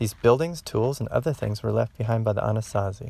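In a calm, gentle tone, a man speaks with ordinary pitch variation in a dry sound with no echo. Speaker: garden educator. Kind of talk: educational lesson for children. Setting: outdoors. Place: open country. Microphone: phone near.

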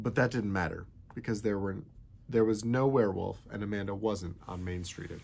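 Text read aloud plainly

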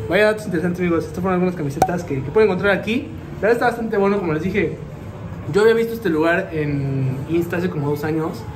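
Over noticeable background noise, a man talks very fast in a high-pitched voice. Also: ordinary pitch variation. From Mexico. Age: 20s. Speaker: YouTuber. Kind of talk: casual vlog. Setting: inside a shop. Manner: animated. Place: shop. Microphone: phone near.

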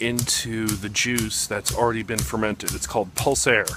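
With music in the background, a man speaks at a fairly slow pace in a dry sound with no echo. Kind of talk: casual vlog chat. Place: factory. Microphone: phone near.

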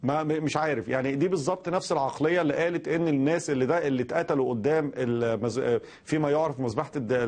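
A man with a fairly high pitch talks at a very fast pace with hardly any pauses and ordinary pitch variation. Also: very even loudness. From Egypt. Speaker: political activist; news guest commentator. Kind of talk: TV news interview commentary. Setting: remote link via satellite. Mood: sarcastic, critical. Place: studio.

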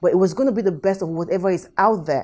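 The speaker is a woman. Her pitch rises and falls in an ordinary way. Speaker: show host. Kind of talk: tutorial. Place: kitchen.

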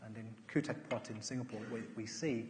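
A man talks with an English accent over light background noise. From England. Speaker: architect. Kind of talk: lecture. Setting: stage with audience. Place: hall. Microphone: headset.

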